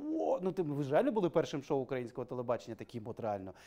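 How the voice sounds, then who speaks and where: A man speaks at a very fast pace. His tone is dark and mellow, against a quiet background. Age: 30s. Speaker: talk show host. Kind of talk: casual chat. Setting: studio. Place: studio.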